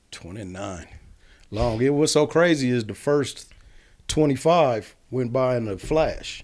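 The speaker talks at a very slow pace with lively intonation. The recording is very clean, with a silent background. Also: man, medium pitch for a man. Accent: American. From Kansas. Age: 40s. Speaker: recently released prisoner. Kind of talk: casual interview.

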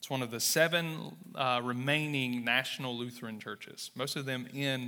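A man with a Southern US accent talks fairly slowly at medium pitch with a bright, sharp tone. His intonation is fairly even, on a very clean recording with a silent background. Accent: Southern US, noticeable drawl. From Mississippi, US South. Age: 30s. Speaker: church planter and missionary. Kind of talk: sermon-style message with testimony. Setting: church stage with audience.

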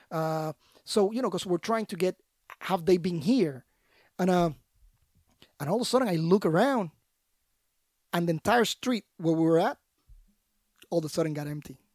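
A high-pitched male voice in a Puerto Rican accent at a moderate pace, with ordinary pitch variation, long, frequent pauses, and a dry, close sound with no echo. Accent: Puerto Rican Spanish accent, rolled R's. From Puerto Rico. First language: Spanish. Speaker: Special Forces veteran, anti-trafficking founder. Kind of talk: casual interview.

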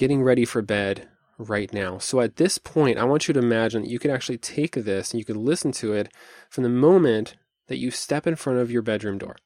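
The pitch is medium for a man and shows ordinary pitch variation. He has a normal speaking voice. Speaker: podcast host and meditation teacher. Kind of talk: guided meditation; solo podcast talk. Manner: slow, calm, soothing.

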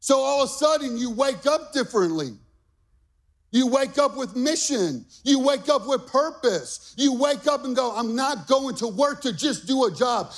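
An extremely high-pitched man, animated and confident in tone, at a fairly slow pace with ordinary pitch variation and music in the background. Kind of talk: sermon. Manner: animated, fired-up, emphatic and repetitive, with call-and-response; exhorting the congregation, rallying and confident.

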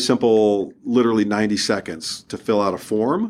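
An ordinary speaking voice at a moderate pace, with fairly even intonation. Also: man. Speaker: startup founder and mentor. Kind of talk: casual interview. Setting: studio.

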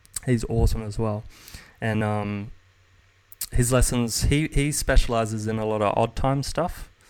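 With an Australian accent, a man speaks at medium pitch and a moderate pace, with fairly even intonation and long, frequent pauses. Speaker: jazz guitarist and guitar teacher. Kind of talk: casual chat. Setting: video call.

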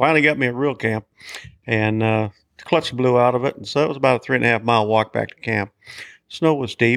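Speaking very fast, a man with a Western US accent keeps a medium pitch and fairly even intonation. The recording is very clean and dry, with a silent background, a close sound and no echo. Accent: rural Western American. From Montana, Big Horn County. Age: 70s. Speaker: hunting outfitter and trapper. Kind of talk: interview storytelling.

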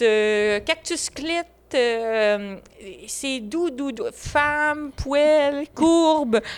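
In a very clean recording with a silent background, a woman with a Quebec accent speaks very slowly in a high voice, her intonation lively, with long, frequent pauses. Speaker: podcast co-host. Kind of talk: casual chat.

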